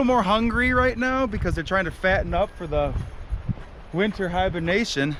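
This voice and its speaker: Loud and high-pitched, a man talks at a fairly quick pace. Noticeable background noise runs underneath. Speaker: travel vlogger. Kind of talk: casual vlog narration. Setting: outdoors on hiking trail.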